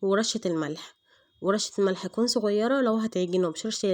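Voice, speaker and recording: At a moderate pace and with ordinary pitch variation, a woman speaks in an Egyptian accent over a quiet background. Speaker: cooking channel host. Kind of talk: cooking tutorial. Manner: hesitant, many fillers.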